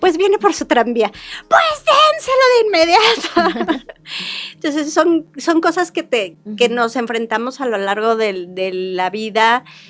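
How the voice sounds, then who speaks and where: At a fairly slow pace, a woman speaks at a high pitch with very wide pitch swings over noticeable background noise. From Mexico, Querétaro. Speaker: tourism business owner. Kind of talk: interview.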